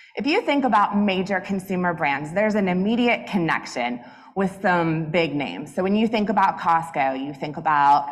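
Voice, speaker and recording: A woman with an American accent at a medium pitch, her intonation lively, with audible room echo. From US South, Atlanta. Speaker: business executive, conference speaker. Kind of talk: keynote talk. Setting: stage with audience. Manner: loud.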